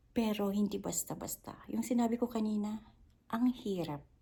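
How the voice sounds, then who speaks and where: At a moderate pace, a woman with a fairly high pitch speaks in a dark, mellow tone that is somewhat breathy. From Philippines. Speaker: vlogger and domestic worker. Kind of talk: casual vlog monologue.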